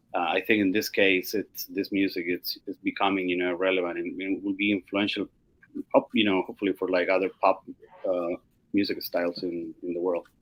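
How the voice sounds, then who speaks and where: Speaking fairly quickly, a man talks with a Spanish accent. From Chile. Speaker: music curator. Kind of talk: casual panel discussion. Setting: video call. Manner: halting, many fillers.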